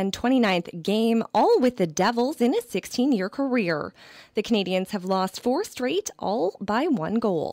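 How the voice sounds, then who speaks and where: A woman's fairly high, unremarkable speaking voice at a fairly slow pace, with lively intonation and very even loudness, in a dry, close, echo-free and very clean recording with a silent background. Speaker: sports radio reporter. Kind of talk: radio sportscast.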